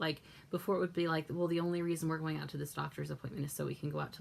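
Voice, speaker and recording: A woman speaks at a very fast pace in a very deep, low voice. Vocal fry runs through her speech. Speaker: vlogger. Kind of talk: casual vlog monologue.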